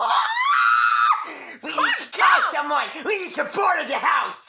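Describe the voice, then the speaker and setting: A cartoonish character voice shouts at an extremely high pitch. The pace is fairly slow. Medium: puppet. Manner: frantic, excitable.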